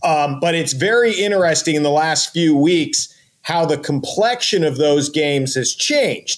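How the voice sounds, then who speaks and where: A man with a fairly high pitch talks at a moderate pace in a normal speaking voice. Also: ordinary pitch variation, very even loudness. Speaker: sports podcast co-host. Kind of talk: casual chat.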